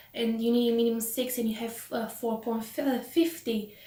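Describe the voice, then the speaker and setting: In a room with audible echo, a woman speaks in a high pitch with a Romanian accent. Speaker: vlogger. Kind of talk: casual chat. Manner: animated.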